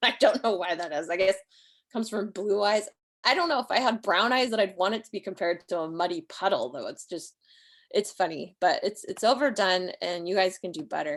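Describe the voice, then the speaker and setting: A woman's medium-pitched voice, an ordinary speaking voice, with lively intonation at a fairly quick pace over a quiet background. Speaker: poet and writing teacher. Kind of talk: online workshop lecture. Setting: livestream video call. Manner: casual, filler-heavy.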